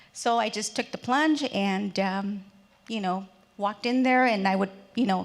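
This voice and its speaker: The speaker has a Spanish accent and ordinary pitch variation. The pace is moderate. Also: woman. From Mexico, raised in the US from age three. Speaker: businesswoman, panelist. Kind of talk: panel discussion. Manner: halting, many fillers.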